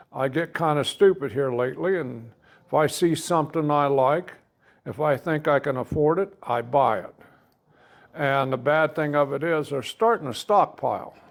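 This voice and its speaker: A man speaks with a Midwestern US accent. His pitch is fairly high. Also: ordinary pitch variation, moderate pace. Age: 70s. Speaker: army veteran and hot-rod car enthusiast. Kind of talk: casual interview chat.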